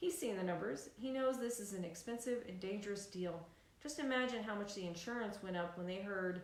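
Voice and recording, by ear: The speaker is reading aloud in a natural voice. Pitch varies in an ordinary way.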